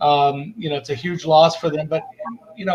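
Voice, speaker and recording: At a fairly quick pace, a man with an American accent speaks in fairly even intonation. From San Diego, California. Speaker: live show host reading chat comments. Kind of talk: casual chat.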